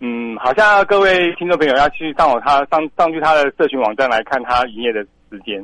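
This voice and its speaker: A voice with a bright, sharp tone speaks at a fairly quick pace with lively intonation. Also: man, fairly high pitch for a man. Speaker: lighthouse director. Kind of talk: radio interview.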